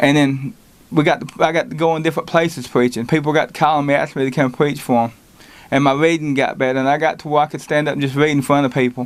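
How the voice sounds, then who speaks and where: This man has a Southern US accent. His words come out at a very fast clip. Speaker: lay preacher. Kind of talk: testimony. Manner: halting.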